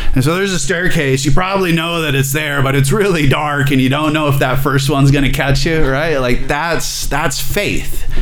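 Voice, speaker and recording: Audible room echo and noticeable background noise surround a man speaking with an American accent. He keeps a moderate pace with fairly even intonation and hardly any pauses. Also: fairly high pitch for a man. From Alabama, US South. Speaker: addiction therapist. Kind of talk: testimony.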